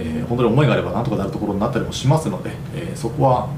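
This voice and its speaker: Amid audible room echo and noticeable background noise, a man speaks very fast. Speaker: podcast host. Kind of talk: solo podcast monologue. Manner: polite formal.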